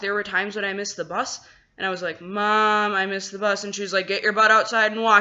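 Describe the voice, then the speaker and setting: The speaker is a woman. Her pitch sits in the medium range. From Wisconsin, US Midwest. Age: 20s. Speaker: vlogger, American expat in China. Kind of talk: casual vlog monologue. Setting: at home, apartment. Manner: conversational, many fillers.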